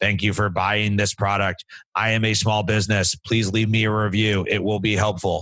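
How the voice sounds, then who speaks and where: In a put-on character voice, a man speaks at a moderate pace with a raspy, fairly low pitch and monotone, flat intonation. The recording is very clean with a silent background. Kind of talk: robotic, flat.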